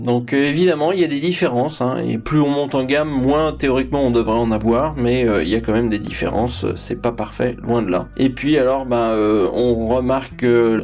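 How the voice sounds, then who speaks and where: A man talks at a moderate pace and medium pitch, with hardly any pauses and very even loudness. Noticeable background noise runs behind him. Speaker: tech YouTuber. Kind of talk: tutorial. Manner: hesitant, many fillers.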